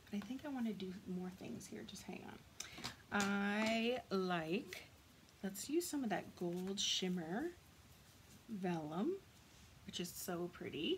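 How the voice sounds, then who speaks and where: A woman's lively intonation at a very slow pace, with long, frequent pauses and noticeable background noise. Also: medium pitch for a woman. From Canada. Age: 40s. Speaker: craft demonstrator. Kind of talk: tutorial. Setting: live video stream. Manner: casual, chatty.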